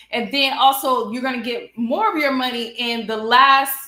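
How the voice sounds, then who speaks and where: Raising and projecting her voice, a woman with a high pitch and bright, sharp tone speaks at a fairly slow pace amid audible room echo. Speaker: nonprofit mentor and trainer. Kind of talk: online teaching presentation. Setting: YouTube livestream.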